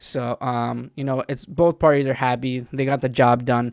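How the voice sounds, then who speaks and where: In a very clean recording with a silent background and a dry, close sound with no echo, a man mumbles at a medium pitch and moderate pace in a monotone, flat intonation. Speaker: sports fan video host. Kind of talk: casual commentary monologue. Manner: mumbling; halting, many fillers.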